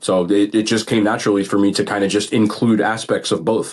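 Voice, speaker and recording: A man with an American accent at a very fast pace. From New Jersey, Bergen County (Garfield). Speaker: food content creator. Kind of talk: podcast interview.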